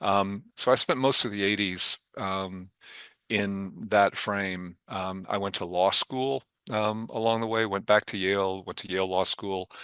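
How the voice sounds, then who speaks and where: A man speaks at a moderate pace with fairly even intonation and a fairly low pitch, his tone bright and sharp, the sound dry and close with no echo over a quiet background. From Kentucky, Louisville. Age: 60s. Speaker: foundation board chair and venture investor. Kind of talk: interview. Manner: halting, many filler ums.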